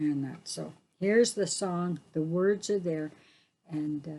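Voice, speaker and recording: Fairly slow and with ordinary pitch variation, the speech has a dark, mellow tone. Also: woman. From northwestern Ontario, First Nations (Anishinaabe). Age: 60s. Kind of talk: community talk and teaching. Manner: halting, many fillers.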